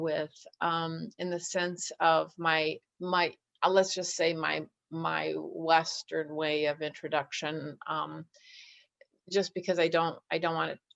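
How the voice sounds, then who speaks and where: In an American accent, a woman speaks at a fairly low pitch. Her pace is fairly slow and her intonation fairly even. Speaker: nurse midwife. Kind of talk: presentation. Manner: halting.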